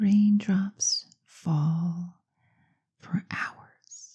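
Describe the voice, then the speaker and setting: Soft-spoken and somewhat breathy, a woman talks with fairly even intonation. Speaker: clinical hypnotherapist. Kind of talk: guided hypnosis session.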